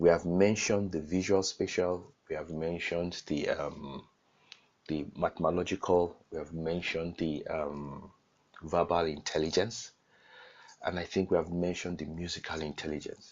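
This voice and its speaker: A man speaks with a Nigerian accent in a very deep, low voice. His intonation stays flat and monotone at a moderate pace. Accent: Nigerian (Yoruba) English. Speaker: online course teacher. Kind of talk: lecture.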